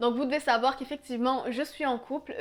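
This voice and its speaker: A woman with a Quebec accent, high-pitched and monotone, flat in intonation, at a fairly quick pace. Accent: Québécois French. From Quebec, Canada. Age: 20s. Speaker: YouTuber. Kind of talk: casual Q&A vlog.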